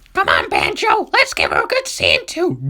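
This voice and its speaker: A put-on, squeaky character voice at an extremely high pitch, moving at a moderate pace. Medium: read story. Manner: cheeky, brash.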